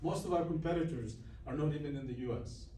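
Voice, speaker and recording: Noticeable background noise and audible room echo surround the recording. A man with a Greek accent speaks at a moderate pace. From Greece. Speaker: business owner. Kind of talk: guest lecture. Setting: university classroom.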